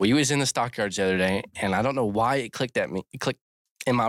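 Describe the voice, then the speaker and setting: A man with an American accent talks at a very fast pace in a fairly low pitch. The sound is dry and close with no echo, and his pitch variation is ordinary. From Maryland, Cecil County. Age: 20s. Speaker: podcast host. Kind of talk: casual chat. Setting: studio.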